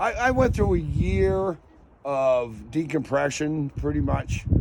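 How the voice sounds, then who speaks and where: A man's very slow delivery, with long, frequent pauses and noticeable background noise. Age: 60s. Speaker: retired scientist and ornithologist. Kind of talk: interview answer. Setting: outdoors. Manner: casual, profane.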